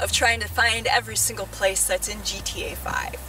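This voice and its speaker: Music plays in the background as a woman speaks at a moderate pace, the sound dry with no echo. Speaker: travel vlogger. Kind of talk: casual vlog chat. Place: open country.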